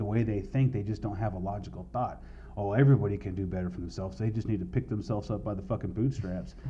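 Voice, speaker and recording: Speaking very fast with a Southern California accent, a man has a fairly low pitch, a dark, mellow tone, vocal fry and lively intonation. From US West Coast, east San Diego County. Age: 40s. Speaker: tattoo artist. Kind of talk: casual chat.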